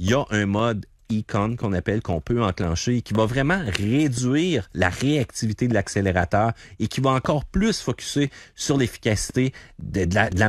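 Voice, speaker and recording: With a Quebec accent, a man of medium pitch speaks at a moderate pace with lively intonation on a very clean recording with a silent background. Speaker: car columnist. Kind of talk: radio interview.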